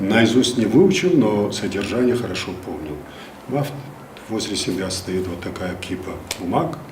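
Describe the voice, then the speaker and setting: With noticeable background noise, a man speaks fairly slowly in a fairly low pitch, his intonation lively, his loudness swinging widely and his pauses long and frequent. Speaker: first announcer of regional radio and television, former theater actor. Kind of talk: interview answer, storytelling from memory.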